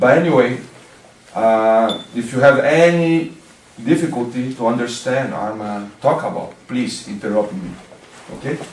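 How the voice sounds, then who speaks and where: In a room with audible echo and noticeable background noise, a man with a Brazilian Portuguese accent talks at a fairly slow pace in a medium pitch with ordinary pitch variation, pausing long and often. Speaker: martial arts teacher. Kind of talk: lecture. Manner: halting.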